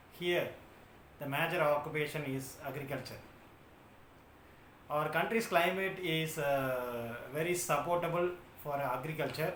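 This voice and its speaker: With a South Indian accent, a man talks fairly slowly at a fairly high pitch with ordinary pitch variation and long, frequent pauses, amid noticeable background noise and audible room echo. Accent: South Indian (Tamil) English. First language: Tamil. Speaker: YouTuber. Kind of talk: casual talk to camera. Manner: halting, many filler sounds.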